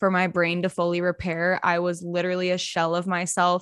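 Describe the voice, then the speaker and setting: A woman's medium-pitched voice at a fairly quick pace, dry and close with no echo, on a very clean recording with a silent background. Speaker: meditation and mindfulness creator. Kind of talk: casual chat.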